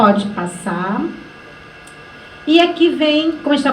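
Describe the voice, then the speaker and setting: A woman is speaking with noticeable background noise. The room echo is audible. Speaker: workshop facilitator. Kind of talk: lecture.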